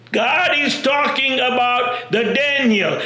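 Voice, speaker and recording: A man speaks in a raised, projected voice at a very slow pace, with audible room echo and noticeable background noise. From India. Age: 60s. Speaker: self-proclaimed messiah preacher. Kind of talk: religious monologue. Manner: halting, with frequent repetitions and fillers.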